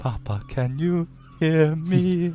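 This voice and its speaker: Over clear background noise, a man uses a put-on character voice at a fairly high pitch. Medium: actual play.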